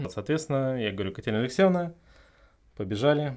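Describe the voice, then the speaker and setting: The recording is very clean with a silent background, and the man's pitch varies an ordinary amount. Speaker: couple guest, recent emigrant. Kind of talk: casual chat. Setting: studio.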